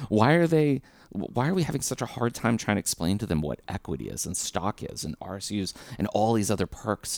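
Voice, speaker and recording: A man with an American accent at a fairly quick pace, very wide pitch swings and vocal fry, in a dry, close sound with no echo. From Southern California (LA / Orange County). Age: 30s. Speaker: tech recruiter. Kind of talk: podcast interview.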